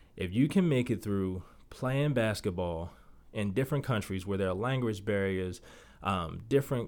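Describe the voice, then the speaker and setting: An unremarkable speaking voice moves at a fairly quick pace with ordinary pitch variation. The recording is very clean with a silent background. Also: man. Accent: American. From Baltimore, Maryland. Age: 30s. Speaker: podcast host, real estate agent, former basketball player. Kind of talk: motivational solo podcast.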